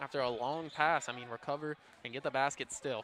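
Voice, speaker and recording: Soft-spoken, a man talks at a moderate pace with fairly even intonation. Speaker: color commentator. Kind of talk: live commentary.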